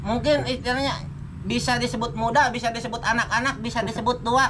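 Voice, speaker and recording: A man with a Sundanese accent at a fairly quick pace, with audible room echo and noticeable background noise. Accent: weak Indonesian, Sundanese speaker. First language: Sundanese (speaking Indonesian). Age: 30s. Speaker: cemetery dweller interviewee. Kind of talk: casual interview. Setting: outdoors at a cemetery.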